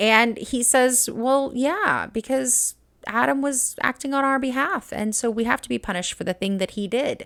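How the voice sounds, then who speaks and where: Her pitch high with ordinary variation, a woman speaks in an animated tone in a very clean recording with a silent background. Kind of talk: reaction video commentary. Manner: fast.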